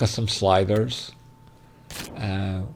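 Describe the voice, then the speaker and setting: Speaking at a very slow pace, a man keeps a fairly low pitch and a monotone, flat intonation. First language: not English. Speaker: gaming YouTuber. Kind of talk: gameplay commentary. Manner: halting, with fillers.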